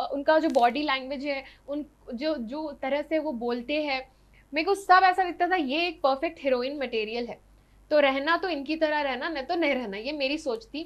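An animated tone with ordinary pitch variation. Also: woman, high pitch for a woman, moderate pace. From Hyderabad, India (from age 11-12; born Odisha). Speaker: actress and social media influencer; actress, social media influencer. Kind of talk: interview. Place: studio. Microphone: lapel.

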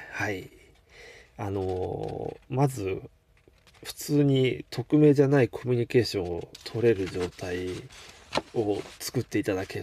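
Against light background noise, a man's dark, mellow voice shows ordinary pitch variation in a dry sound with no echo. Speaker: game collector streamer. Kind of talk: casual live stream talk. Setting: live stream. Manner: relaxed, laid-back. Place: home room. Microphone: webcam.

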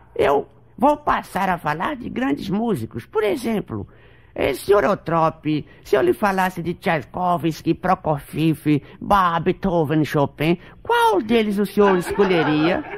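A man talks at a fairly slow pace with lively intonation. His pitch sits high. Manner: bossy, pompous.

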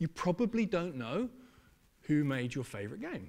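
Lively intonation runs through this man's speech. He keeps a moderate pace. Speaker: games festival producer; conference speaker. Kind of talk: panel presentation. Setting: stage with audience. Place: stage.

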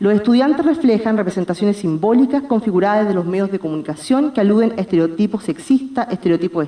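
Lively intonation runs through a woman's speech at a very fast pace. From Chile. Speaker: philosophy academic; presenter. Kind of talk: reading a paper. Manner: formal. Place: hall. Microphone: podium.

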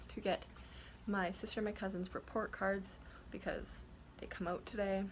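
Light background noise under a woman speaking. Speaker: vlogger. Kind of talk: casual vlog chat. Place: home room. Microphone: phone near.

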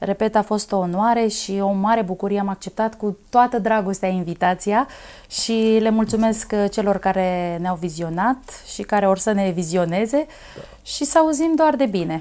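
A woman speaks at a moderate pace in a dark, mellow tone. Her pitch variation is ordinary. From Romania, Dâmbovița county; Romania. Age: 30s. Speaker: folk singer; interview guest. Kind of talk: interview; interview answer. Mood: warm, smiling, grateful. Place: studio. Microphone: lapel.

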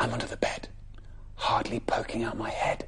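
At a moderate pace, a man speaks in a whisper. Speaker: presenter. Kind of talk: storytelling reading to children. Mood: warm, gentle, playful. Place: studio.

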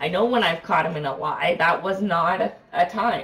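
A woman's pitch moves in a normal range as she speaks somewhat slowly. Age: 30s. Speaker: live streamer. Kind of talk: casual chat. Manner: animated. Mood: amused, laughing at times. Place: home room.

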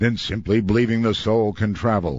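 In a quiet, dry setting with no echo, a man with a fairly low pitch speaks in a plain, everyday voice. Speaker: radio show host. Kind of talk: radio monologue on the news.

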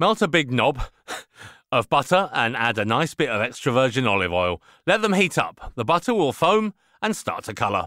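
A man speaks at a moderate pace with vocal fry, a bright, sharp tone and very wide pitch swings. The recording is very clean, with a silent background and a dry, close sound free of echo. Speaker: author reading his own audiobook. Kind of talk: audiobook recipe narration with personal memories. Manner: casual, conversational, humorous.

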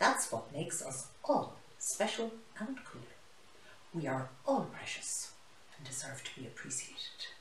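Putting on a character voice, a woman speaks low in pitch with a fairly bright tone, big pitch swings and a fairly slow pace, with audible room echo.

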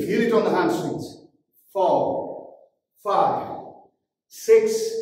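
A man speaks amid strong room echo and light background noise. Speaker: fitness trainer. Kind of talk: tutorial. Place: gym.

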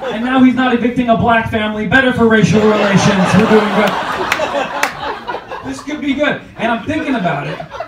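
Over loud background noise, a man with an extremely high pitch speaks in an animated, playful tone. His pitch variation is ordinary, and he hardly pauses at all. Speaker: comedian. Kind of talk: stand-up comedy. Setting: comedy club stage with audience. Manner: animated, punchy, playful crowd work; jokey, self-deprecating, with fast punchline delivery. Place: stage.

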